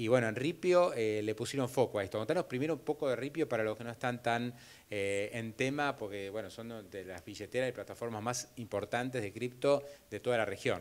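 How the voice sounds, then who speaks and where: A man with a Rioplatense accent talks at a fairly quick pace in a medium pitch with ordinary pitch variation. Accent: Argentine Rioplatense Spanish. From Argentina. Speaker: event host and interviewer; event host, interviewer. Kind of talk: onstage interview at business event. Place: hall. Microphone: handheld.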